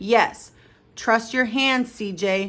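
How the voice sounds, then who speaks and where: A raspy, put-on character voice with fairly even intonation. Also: woman. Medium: read story. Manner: firm, encouraging.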